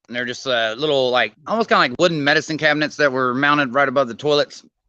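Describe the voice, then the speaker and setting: This man speaks with an Arkansas accent in a fairly high, bright and sharp voice. The background is quiet. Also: ordinary pitch variation. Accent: Arkansas country drawl. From California. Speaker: co-host, house painter. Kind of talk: casual chat. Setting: video call.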